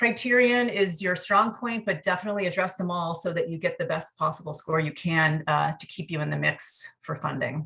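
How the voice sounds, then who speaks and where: Delivered at a fairly quick pace, the voice has a bright, sharp tone and ordinary pitch variation. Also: woman. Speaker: federal agency program manager. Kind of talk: workshop presentation. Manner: fast.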